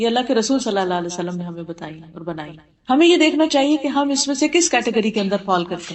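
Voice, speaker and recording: A woman with a fairly high pitch makes very wide pitch swings and big swings in loudness. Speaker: Islamic scholar giving a lecture. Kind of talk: religious lecture to an audience.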